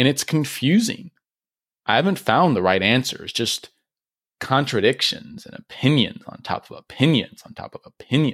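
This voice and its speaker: A man speaks at a moderate pace with very wide pitch swings, big swings in loudness and vocal fry, recorded with a dry, close sound and no echo. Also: fairly high pitch for a man. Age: 20s. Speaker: vlogger. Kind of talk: personal reflective monologue.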